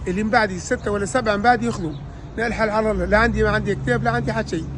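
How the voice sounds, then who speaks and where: A very fast-talking man over noticeable background noise. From Tunisia, Kairouan region (Hajeb El Ayoun). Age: 50s. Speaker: louage taxi driver. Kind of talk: interview testimony, complaint. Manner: halting, repetitive.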